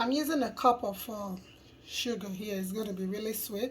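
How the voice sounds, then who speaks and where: A woman speaks in a fairly high, somewhat breathy voice. Her intonation is fairly even and her pace moderate. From Nigeria. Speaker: cooking youtuber. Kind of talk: cooking tutorial.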